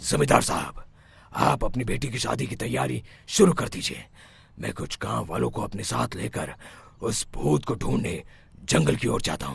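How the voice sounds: A man does a cartoonish character voice at a very deep, low pitch, his pitch swinging very widely at a moderate pace.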